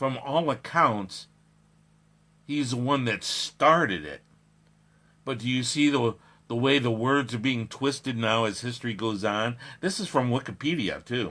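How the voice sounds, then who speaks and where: Here a man talks at medium pitch with ordinary pitch variation and a bright, sharp tone. He leaves long, frequent pauses, and the recording is very clean with a silent background. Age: 60s. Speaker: radio talk show host. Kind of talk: radio commentary, reading and reacting to an article. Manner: halting, with frequent fillers and self-corrections.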